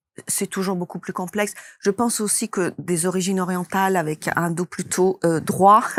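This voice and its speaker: Her pitch medium and her intonation fairly even, a woman talks at a moderate pace. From Italy. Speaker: movement therapist and method creator. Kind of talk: interview. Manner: hesitant, with many fillers.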